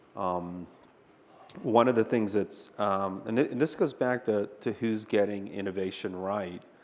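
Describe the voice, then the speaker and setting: A soft-spoken man with a fairly low pitch and ordinary pitch variation, at a fairly slow pace over a quiet background. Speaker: technology executive, panelist. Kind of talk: panel discussion. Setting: conference stage with audience. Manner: dry, wry delivery.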